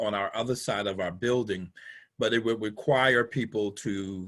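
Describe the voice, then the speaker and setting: This is a plain, everyday voice at a moderate pace with fairly even intonation. The background is quiet. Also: man. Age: 60s. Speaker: pastor. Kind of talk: casual chat. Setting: video call.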